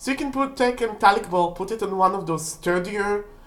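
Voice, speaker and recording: With audible room echo, a woman speaks at a moderate pace using lively intonation. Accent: non-native. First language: not English. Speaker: witchcraft video creator. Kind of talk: casual tutorial. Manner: halting.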